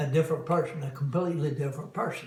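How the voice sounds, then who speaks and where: The intonation stays fairly even. Audible room echo is present. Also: man. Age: 80s+. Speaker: caregiver. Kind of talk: interview testimony.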